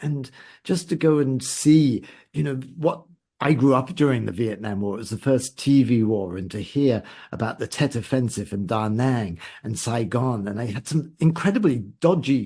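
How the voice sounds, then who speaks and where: A man speaks at medium pitch with very wide pitch swings, in a dark, mellow, somewhat breathy tone. The background is quiet. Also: moderate pace. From UK. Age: 70s. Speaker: travel writer and podcaster. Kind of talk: casual interview chat. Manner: animated.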